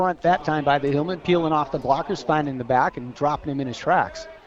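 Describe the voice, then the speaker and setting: A man's fairly high-pitched voice with ordinary pitch variation, over noticeable background noise. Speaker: radio color commentator. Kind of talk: live sports color commentary. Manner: conversational, analytical.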